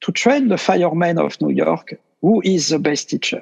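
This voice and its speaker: This man has a French accent and a fairly high pitch, speaking at a fairly slow pace. The sound is dry and close, with no echo. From France. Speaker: meditation teacher. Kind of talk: interview. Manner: halting.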